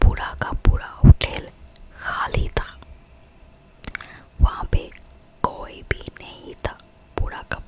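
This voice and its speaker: Whispering with long, frequent pauses and big swings in loudness over noticeable background noise. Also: woman. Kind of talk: whispered ASMR horror storytelling. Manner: soft, whispered.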